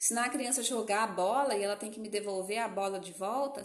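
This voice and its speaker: A woman's fairly quick speech with lively intonation and audible room echo. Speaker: educational psychologist. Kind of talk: live-stream lecture.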